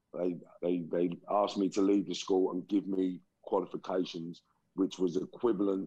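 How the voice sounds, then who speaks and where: Very deep and low in pitch, a man with a London accent talks at a fairly slow pace in a monotone, flat intonation. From London, England (raised from age ~5; born Liverpool). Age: 40s. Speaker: motivational speaker, former gangster. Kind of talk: interview testimony.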